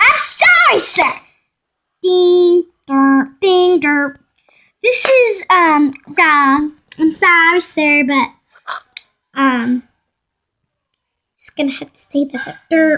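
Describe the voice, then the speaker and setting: This put-on character voice is squeaky and high-pitched, moving at a very slow pace with long, frequent pauses. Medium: solo performance. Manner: halting, apologetic.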